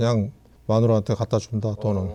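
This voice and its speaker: Somewhat breathy and dark, mellow in tone, a man speaks at a fairly quick pace with a fairly low pitch and fairly even intonation. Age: 70s. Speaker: retiree. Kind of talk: casual chat.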